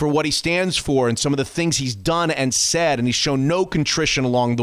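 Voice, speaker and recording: This man talks at a moderate pace with lively intonation in a plain, everyday voice. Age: 50s. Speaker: sports radio podcast host. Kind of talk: casual chat.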